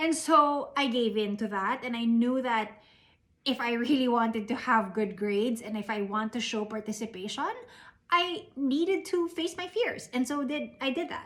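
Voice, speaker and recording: A woman with a Filipino accent speaks at a high pitch. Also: lively intonation, moderate pace. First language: Tagalog. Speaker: invited speaker. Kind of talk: motivational talk. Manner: code-switching Taglish.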